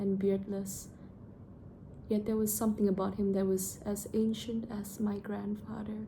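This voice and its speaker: A woman's medium-pitched, somewhat breathy voice, fairly slow and monotone with flat intonation. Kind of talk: read story. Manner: casual, unpolished reading.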